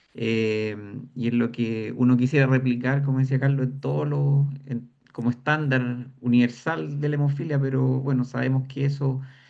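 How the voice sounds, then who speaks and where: A man talks at a moderate pace in an unremarkable speaking voice. His pitch is medium and his intonation fairly even. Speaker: patient association representative. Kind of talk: panel discussion.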